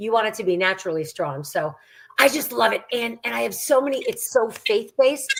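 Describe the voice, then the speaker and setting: A woman with a normal speaking voice talks at a fairly quick pace in a fairly high pitch. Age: 60s. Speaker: gym owner and fitness instructor. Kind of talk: casual chat.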